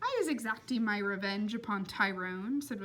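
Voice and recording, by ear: The voice is reading aloud in a natural voice.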